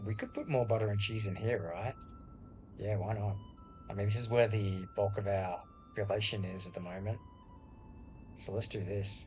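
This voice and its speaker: Over music in the background, a man speaks in a relaxed, calm tone with an Australian accent at a moderate pace. His fairly low voice stays monotone and flat, broken by long, frequent pauses. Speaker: gaming YouTuber. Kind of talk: casual gameplay commentary.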